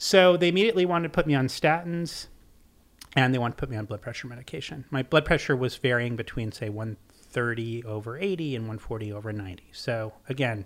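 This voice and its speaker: Here is a man with a plain, everyday voice and an American accent, pitched at a medium level. He speaks fairly quickly with lively intonation and big swings in loudness. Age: 50s. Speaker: author and seafood writer. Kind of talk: casual interview chat.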